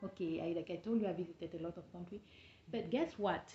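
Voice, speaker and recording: With ordinary pitch variation, this woman's voice comes across as somewhat breathy. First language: not English. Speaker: travel and business vlogger. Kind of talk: casual vlog talk. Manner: halting.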